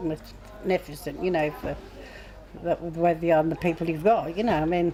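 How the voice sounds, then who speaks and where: Amid noticeable background noise, a woman speaks in a fairly low, monotone, flat voice. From Stoke-on-Trent, northern England. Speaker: former working boatwoman. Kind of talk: casual chat.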